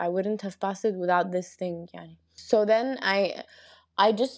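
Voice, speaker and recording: In an Arabic accent, a woman speaks at a fairly slow pace. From Egypt, raised partly in London and Qatar. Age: 20s. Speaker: construction engineer, cancer support platform founder. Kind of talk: interview testimony.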